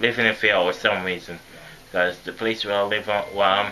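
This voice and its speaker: This man has a fairly low pitch and a monotone, flat intonation, with noticeable background noise behind him. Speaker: vlogger. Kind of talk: personal vlog monologue. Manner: halting.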